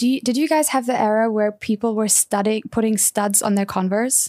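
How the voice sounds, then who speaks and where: This woman has a German accent and a fairly high pitch. She speaks at a fairly quick pace with fairly even intonation. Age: 30s. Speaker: fashion editor. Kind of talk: casual chat.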